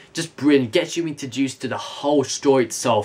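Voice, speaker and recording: A man of medium pitch, heard over noticeable background noise. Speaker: video reviewer. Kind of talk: casual review monologue. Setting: home bedroom recording. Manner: fast; stumbling over words.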